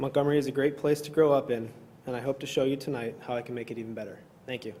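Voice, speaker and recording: A man with a Midwestern American accent talks at a very fast pace, with a dark, mellow tone, medium pitch, fairly even intonation and big swings in loudness. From northern Illinois. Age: 30s. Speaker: local politician, village president candidate. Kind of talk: candidate forum opening statement.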